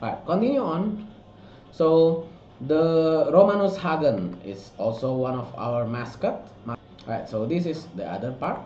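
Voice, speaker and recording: Over noticeable background noise and audible room echo, a man with a non-native accent speaks fairly slowly at a fairly high pitch, his pitch swinging very widely. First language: not English. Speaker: miniature sculptor and art director. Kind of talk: product walkthrough. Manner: halting, many fillers and restarts.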